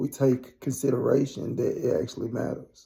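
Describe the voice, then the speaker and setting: At a fairly slow pace, a man's medium-pitched voice sounds somewhat breathy and dark, mellow in tone. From US South, Memphis, Tennessee. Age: 30s. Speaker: recovering addict vlogger. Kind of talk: personal testimony monologue. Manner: casual, conversational.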